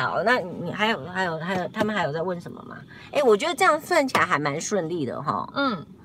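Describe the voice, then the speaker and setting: Over noticeable background noise, a woman talks at a very fast pace in a medium pitch, with very wide pitch swings and big swings in loudness. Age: 60s. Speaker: YouTuber host. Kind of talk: casual live-stream chat. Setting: in a car, driving.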